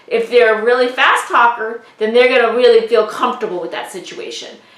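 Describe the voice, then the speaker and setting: A woman speaks at a fairly high pitch with fairly even intonation. Noticeable background noise runs underneath. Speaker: real estate trainer. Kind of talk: lecture.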